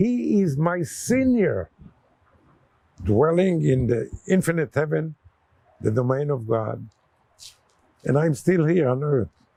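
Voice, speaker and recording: With very wide pitch swings, a man speaks at a fairly high pitch in a dark, mellow tone that is somewhat breathy. His pace is very slow, with long, frequent pauses. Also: very even loudness. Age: 80s+. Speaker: war veteran. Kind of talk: oral history interview.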